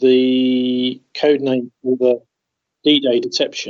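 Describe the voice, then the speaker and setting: A man with a British accent speaks at a medium pitch. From Britain. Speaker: journalist. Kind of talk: interview conversation.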